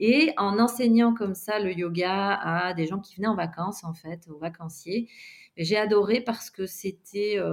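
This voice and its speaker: A woman's medium-pitched, fairly slow delivery in an ordinary speaking voice, with ordinary pitch variation and big swings in loudness. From Belgium. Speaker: yoga teacher and physiotherapist. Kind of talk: interview.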